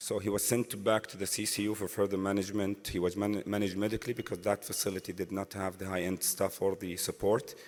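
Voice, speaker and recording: At a fairly quick pace, a man speaks in a fairly low pitch. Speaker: interventional cardiologist. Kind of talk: medical conference case presentation. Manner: halting with frequent fillers.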